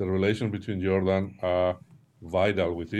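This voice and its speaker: Speaking at a moderate pace, a man with a Spanish accent has a very deep, low pitch. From Spain. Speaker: former national security advisor, strategy consultant. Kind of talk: interview discussion. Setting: remote video call. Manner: halting, repeats words.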